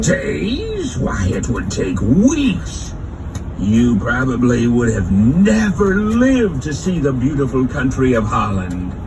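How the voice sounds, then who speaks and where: A man uses a put-on character voice at a fairly slow pace. Loud background noise runs behind him. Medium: audio drama. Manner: gruff.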